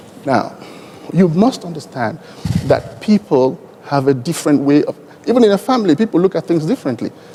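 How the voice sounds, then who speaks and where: Over noticeable background noise, a man speaks with a Nigerian accent at a fairly quick pace. His pitch is high, with very wide swings and long, frequent pauses. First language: Igbo. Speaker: airline executive, panelist. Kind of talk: conference panel discussion.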